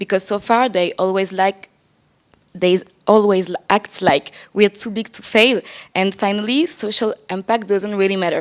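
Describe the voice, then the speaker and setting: At a moderate pace, a woman with a medium pitch speaks with fairly even intonation. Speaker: PhD candidate in law asking a question from the audience. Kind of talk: reading aloud a prepared question. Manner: reading from notes.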